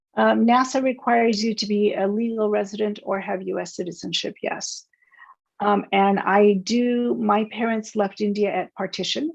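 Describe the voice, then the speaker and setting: An unremarkable speaking voice from a woman with an American accent, medium in pitch, moderate in pace, with ordinary pitch variation. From United States. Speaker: space scientist and startup founder. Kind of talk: interview Q&A.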